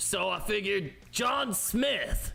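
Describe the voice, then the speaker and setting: A man performs in a put-on character voice. Light background noise can be heard. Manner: casual, brash.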